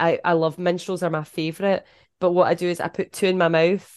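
A woman with a Scottish accent, fairly low in pitch, speaking at a moderate pace in a monotone, flat intonation, with a dry, close sound with no echo and a quiet background. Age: 40s. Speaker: podcast host. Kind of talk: casual chat.

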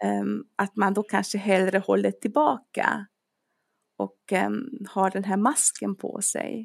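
A very slow-paced woman's voice, dry and close with no echo. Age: 40s. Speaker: dentist and personal trainer. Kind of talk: casual chat.

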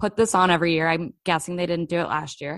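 A woman talks at a fairly quick pace in a normal speaking voice, fairly low in pitch. The sound is dry and close with no echo, over a quiet background. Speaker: podcast host. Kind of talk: casual chat.

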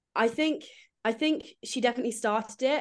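A woman's moderately paced speech against a quiet background. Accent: English. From England. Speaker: magazine writer and editor. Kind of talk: casual chat.

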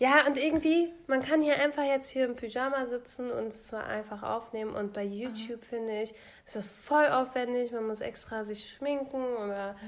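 A high-pitched woman talks with hardly any pauses. Her pitch variation is ordinary. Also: moderate pace. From Germany, Lower Saxony. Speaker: podcast co-host. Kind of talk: casual chat.

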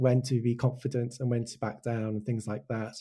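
A man's somewhat breathy voice, dark and mellow in tone, with monotone, flat intonation, in a very clean recording with a silent background. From Wales. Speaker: animation director. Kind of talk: casual interview chat.

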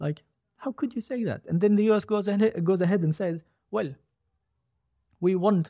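A man with an Arabic accent speaks at a moderate pace in a dark, mellow, somewhat breathy tone. The sound is dry and close, without echo. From Gaza, Palestine. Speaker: software developer. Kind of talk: interview. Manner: hesitant, many fillers.

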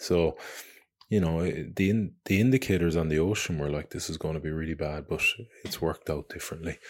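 A man with an Irish accent speaks at a fairly quick pace in a very deep, low voice with ordinary pitch variation, on a very clean recording with a silent background. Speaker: adventurer and podcast host. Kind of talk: casual monologue. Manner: halting, many fillers.

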